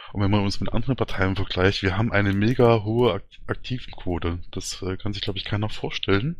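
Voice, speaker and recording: A man talks at a fairly quick pace with a fairly low pitch. His intonation stays fairly even. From Thuringia, Germany. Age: 30s. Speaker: party candidate, IT worker. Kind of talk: interview. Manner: hesitant, many fillers.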